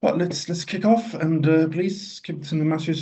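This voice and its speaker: Somewhat breathy, a man talks at a fairly quick pace with ordinary pitch variation amid audible room echo. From Egypt. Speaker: radiologist and teacher. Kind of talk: lecture.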